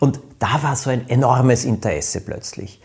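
A somewhat breathy man's voice. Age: 50s. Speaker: podcast host, author. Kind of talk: casual chat.

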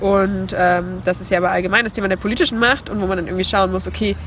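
Very fast speech from a woman amid noticeable background noise. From Leipzig, Saxony, eastern Germany. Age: young. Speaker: climate activist. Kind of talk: interview. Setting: at a congress, filmed on camera.

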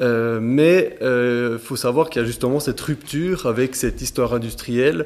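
This man has a plain, everyday voice, pitched at a medium level with ordinary pitch variation. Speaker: local resident. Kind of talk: panel discussion. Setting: town hall meeting room.

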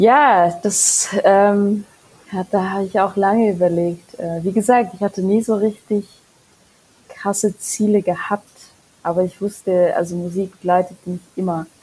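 With a Mongolian accent, a woman speaks at medium pitch and a fairly slow pace, keeping her intonation fairly even and leaving long, frequent pauses. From Mongolia, raised in Germany. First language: Mongolian (speaking German). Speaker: singer-songwriter. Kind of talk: casual interview chat. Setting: remote recording.

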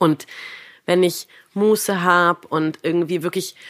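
This woman talks at a very slow pace, her medium pitch showing ordinary variation. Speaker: podcast host and yoga teacher. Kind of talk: interview.

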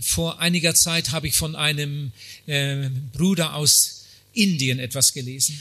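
At a fairly slow pace, a man speaks in a fairly high pitch with ordinary pitch variation, with noticeable background noise behind him. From Germany. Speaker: preacher, missionary. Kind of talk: sermon. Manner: short phrases with pauses for interpreter.

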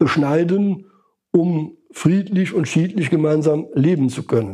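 A man's dark, mellow tone at a very slow pace, with ordinary pitch variation. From Lower Rhine, western Germany. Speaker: psychologist and market researcher. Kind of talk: interview. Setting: in person at his institute in Cologne. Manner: intonation falling at the end of sentences.

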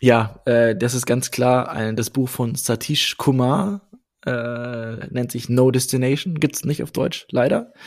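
The delivery is very slow. Pitch varies in an ordinary way. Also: man, medium pitch for a man. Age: 30s. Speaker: marketing manager and podcaster. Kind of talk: interview.

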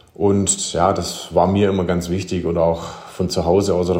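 With audible room echo, a man speaks in a monotone, flat intonation at a very deep, low pitch. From Germany, small village. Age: 30s. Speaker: former professional handball player, coach. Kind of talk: interview.

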